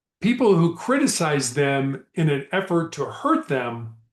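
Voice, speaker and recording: A man speaks at a very slow pace with lively intonation and a somewhat breathy voice. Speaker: motivational speaker and author. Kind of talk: motivational leadership talk. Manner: slow, deliberate.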